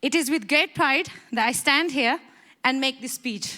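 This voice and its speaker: Shaky and high-pitched, a woman talks at a moderate pace in a bright, sharp tone with ordinary pitch variation. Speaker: graduating student. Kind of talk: graduation speech. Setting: stage with audience.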